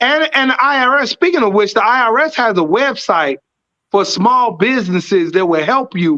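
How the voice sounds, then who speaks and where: Raised and projected, a man's bright, sharp voice swings very widely in pitch at a moderate pace. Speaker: whiskey distillery founder. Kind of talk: interview. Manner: loud; energetic.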